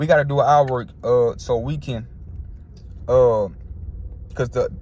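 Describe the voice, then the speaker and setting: The man's tone is animated. His pitch shows ordinary variation. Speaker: sports commentator YouTuber. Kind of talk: casual rant vlog. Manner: fast.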